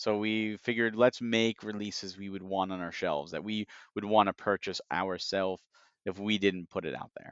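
In a normal speaking voice, a man talks at a moderate pace with a fairly low pitch, fairly even intonation and big swings in loudness. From United States. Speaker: video game industry analyst. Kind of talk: casual chat.

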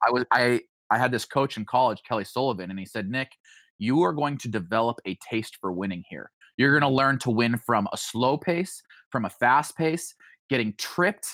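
With an American accent and an unremarkable speaking voice, this speaker talks at a moderate pace with lively intonation, in a very clean recording with a silent background and a dry, close sound with no echo. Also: man, medium pitch for a man. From Idaho (Boise). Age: 30s. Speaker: former Olympic runner and entrepreneur. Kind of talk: interview chat.

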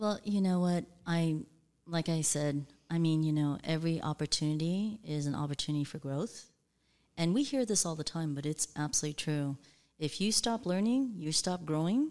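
A woman with an American accent speaks at a moderate pace, her fairly low pitch showing ordinary variation and a dark, mellow tone. The recording is very clean, with a silent background. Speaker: executive coach. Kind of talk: casual interview chat. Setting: studio.

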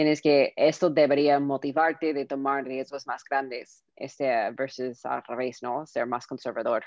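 A woman with an American accent speaks in a very deep, low pitch and a monotone, flat intonation. Her pace is fairly slow, with hardly any pauses. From Southern California, US. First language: English (speaking Spanish). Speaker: tech entrepreneur. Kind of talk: interview. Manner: halting, many fillers.

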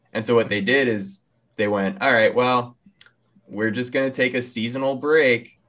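A man speaks at medium pitch and a moderate pace. It is a plain, everyday voice with fairly even intonation. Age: 20s. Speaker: anime podcast co-host. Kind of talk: casual chat.

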